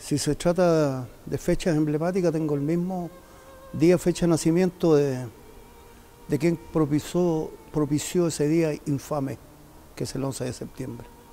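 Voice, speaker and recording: With music in the background, a man talks in a fairly high pitch at a fairly slow pace. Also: fairly even intonation. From Chile, Santiago. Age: 70s. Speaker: community member recounting history. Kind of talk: testimony. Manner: halting.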